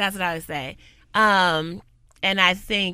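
Loud and with a bright, sharp tone, the voice shows ordinary pitch variation on a very clean recording with a silent background. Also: woman. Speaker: community worker and professor. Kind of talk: casual interview conversation. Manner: loud, outgoing.

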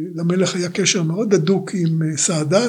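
A man speaks at a fairly slow pace with a high pitch. His intonation stays fairly even. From Israel, Rishon LeZion. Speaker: retired diplomat and executive. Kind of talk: life story interview.

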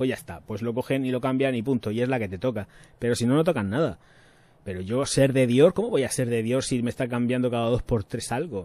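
A man talks at a fairly quick pace in a medium pitch with a dark, mellow tone and ordinary pitch variation. The recording is very clean with a silent background. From Spain, Murcia. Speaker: YouTube perfume reviewer. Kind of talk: casual livestream chat. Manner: animated.

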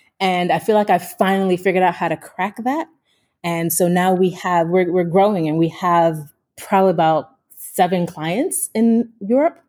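A woman with an American accent speaks at a moderate pace in an unremarkable speaking voice, her pitch medium and her intonation fairly even. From United States. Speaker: business coach, founder of a training company. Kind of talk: interview. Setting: remote call.

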